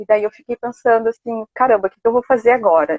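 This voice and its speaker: Fairly high in pitch and fairly quick in pace, a woman speaks in a plain, everyday voice. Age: 30s. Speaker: library science student. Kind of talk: live interview. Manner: casual, with many fillers.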